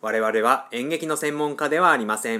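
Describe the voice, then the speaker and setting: Bright and sharp in tone, a man's voice moves with lively intonation. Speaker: podcast host. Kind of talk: solo radio-style talk. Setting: apartment room. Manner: frequent filler hesitations.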